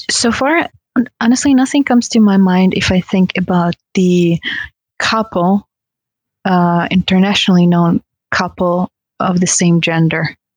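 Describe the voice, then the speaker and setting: Delivered with a Russian accent, the speech moves at a fairly slow pace with long, frequent pauses and ordinary pitch variation. Loudness stays very even, and the sound is dry and close with no echo. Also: woman, medium pitch for a woman. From Russia, Tatarstan. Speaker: kizomba dancer. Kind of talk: casual chat.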